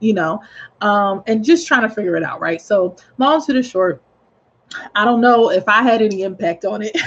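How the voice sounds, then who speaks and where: Somewhat breathy and at medium pitch, a woman's voice shows ordinary pitch variation. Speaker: real estate agent. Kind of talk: informal video tip. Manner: hesitant, many fillers.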